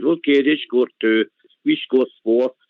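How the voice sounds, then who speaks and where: A man speaks at a moderate pace. He has a Glasgow accent. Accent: Scottish (Glasgow). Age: 60s. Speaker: caller. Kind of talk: phone-in call. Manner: halting.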